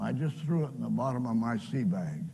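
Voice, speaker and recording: Somewhat breathy and dark, mellow in tone, a man with a fairly high pitch makes very wide pitch swings. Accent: American. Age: 80s+. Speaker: pastor and World War II veteran. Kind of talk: personal testimony talk.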